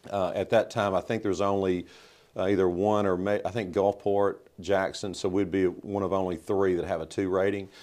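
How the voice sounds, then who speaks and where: Someone with a Mississippi accent speaks in a monotone, flat intonation at very even loudness. The background is quiet. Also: man, fairly low pitch for a man, fairly quick pace. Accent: Mississippi Southern US. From US South, Mississippi (Southaven). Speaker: mayor. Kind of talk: interview.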